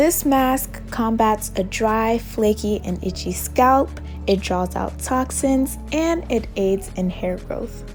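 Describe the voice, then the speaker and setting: Over music in the background, a woman with an American accent speaks at a very slow pace. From United States. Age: young. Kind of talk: casual hair routine talk to camera.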